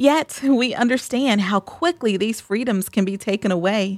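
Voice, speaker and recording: A woman has an unremarkable speaking voice, a fairly high pitch and ordinary pitch variation at a moderate pace, the sound dry and close with no echo. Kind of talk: fervent prayer. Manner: earnest, solemn, reverent.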